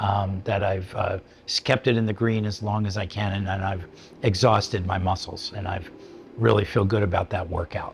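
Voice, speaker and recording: At a moderate pace, a man talks in a fairly low voice with fairly even intonation. Noticeable background noise runs underneath. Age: 70s. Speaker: psychiatrist giving a fitness testimonial. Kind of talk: interview testimonial. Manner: halting, many fillers and restarts.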